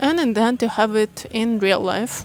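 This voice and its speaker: Noticeable background noise surrounds a woman with a non-native accent who speaks at a moderate pace in a fairly high pitch with fairly even intonation. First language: not English. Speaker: content creator and course teacher. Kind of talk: vlog-style reflective talk to camera. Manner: unscripted, with fillers.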